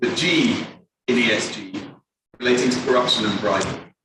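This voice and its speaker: Audible room echo surrounds a man talking at a moderate pace in a medium pitch. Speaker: audience member asking a question. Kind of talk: audience question. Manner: loud.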